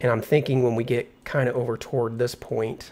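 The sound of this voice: A man speaks at a fairly quick pace in a slightly mellow tone. His pitch is medium and moves little.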